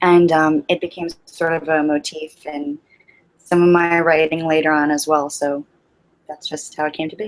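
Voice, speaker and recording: With music in the background, a woman talks at a moderate pace in a very deep, low voice with monotone, flat intonation. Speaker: ASMR YouTuber. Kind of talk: interview. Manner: hesitant with fillers.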